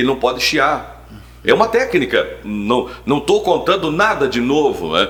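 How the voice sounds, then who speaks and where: Against noticeable background noise, a man speaks at a fairly slow pace in an animated tone with very even loudness. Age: 60s. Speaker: sports radio announcer. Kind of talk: interview.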